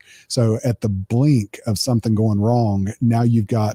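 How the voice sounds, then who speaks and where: Recorded very cleanly with a silent background, a voice with an East Coast US accent has a dark, mellow tone, monotone, flat intonation, and a dry, close sound with no echo. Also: man. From US East Coast. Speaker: cybersecurity consultant. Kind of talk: technical interview discussion.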